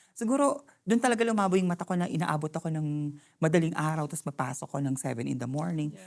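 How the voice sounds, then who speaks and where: Speech comes at a very fast pace with hardly any pauses, on a very clean recording with a silent background. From Philippines. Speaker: healthcare aide and drag performer. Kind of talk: interview. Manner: halting.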